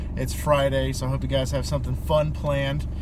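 A man's very deep, low voice in a flat monotone, dry with no echo, over noticeable background noise. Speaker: vlogger. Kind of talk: casual vlog chat. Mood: cheerful, relaxed. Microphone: phone near.

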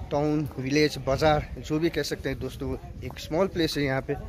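Moderate tempo from a man, light noise behind him. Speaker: travel vlogger. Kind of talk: casual vlog chat. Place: street. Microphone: phone near.

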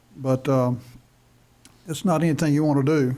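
On a very clean recording with a silent background, a man speaks in a North Carolina accent with monotone, flat intonation. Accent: Southern US (North Carolina). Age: 60s. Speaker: school board chair. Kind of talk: public meeting. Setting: meeting room. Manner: halting.

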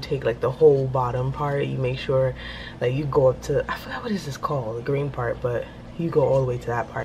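Over clear background noise, a woman speaks fast at an extremely low pitch with lively intonation.

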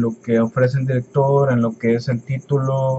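Delivered at a fairly slow pace, the speech stays monotone, with flat intonation. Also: man. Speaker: YouTuber. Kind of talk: Q&A vlog. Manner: halting.

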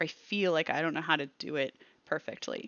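Over a quiet background, a woman speaks at a fairly low pitch and a moderate pace, with ordinary pitch variation and a dry sound free of echo. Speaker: cross stitch hobby vlogger. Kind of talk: casual vlog chat. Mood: cheerful, animated. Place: home room. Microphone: headset.

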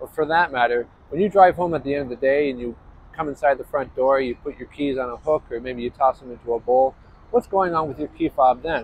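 A man talks at a very fast pace with ordinary pitch variation. The sound is dry with no echo, over light background noise. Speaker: presenter. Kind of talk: tutorial. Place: street.

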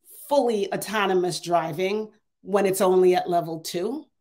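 Moderate pace against a quiet background. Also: woman. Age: 50s. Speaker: AI consultant and adjunct professor; adjunct professor. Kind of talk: keynote talk with Q&A. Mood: earnest, persuasive. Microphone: earbuds.

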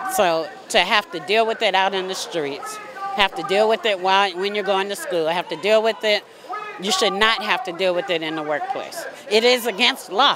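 Crowd noise sits behind a woman speaking at a moderate pace and medium pitch, with ordinary pitch variation and a dry sound with no echo. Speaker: union representative. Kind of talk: rally interview. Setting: outdoor rally. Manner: firm, indignant. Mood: indignant, earnest. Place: street. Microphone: handheld.

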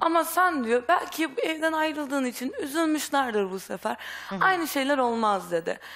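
With very wide pitch swings, a woman speaks in a high voice. Her pace is fairly quick. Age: young. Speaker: runaway daughter; talk show guest. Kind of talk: testimony. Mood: upset, earnest. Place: studio. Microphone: headset.

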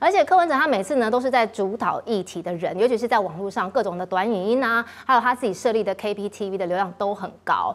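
The speech runs at a very fast pace with hardly any pauses and lively intonation. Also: woman, fairly high pitch for a woman. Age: middle-aged. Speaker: TV talk show host. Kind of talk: political talk show hosting.

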